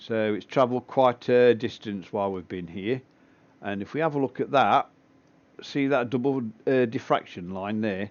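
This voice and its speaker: Speaking at a moderate pace in an English accent, a man with a medium pitch uses a relaxed tone and ordinary pitch variation. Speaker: amateur astronomer livestreaming telescope session. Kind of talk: live stream commentary, casual tutorial. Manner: relaxed, with frequent fillers.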